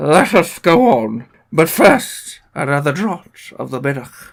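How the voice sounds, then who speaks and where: At a fairly slow pace, a put-on character voice comes through at a middle pitch. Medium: read story.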